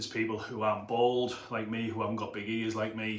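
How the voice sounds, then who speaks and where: Audible room echo surrounds a man speaking with a Teesside accent. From northern England, Middlesbrough. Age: 30s. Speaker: personal trainer and gym owner. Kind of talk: motivational talk to camera. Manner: casual, conversational.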